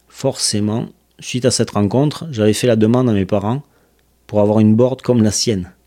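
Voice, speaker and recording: This man has a fairly low pitch and a dark, mellow tone. His loudness stays very even, his intonation fairly even, and his pace fairly quick. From southern France, Toulouse. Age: 40s. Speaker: podcast host, skateboarder. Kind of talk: scripted narration.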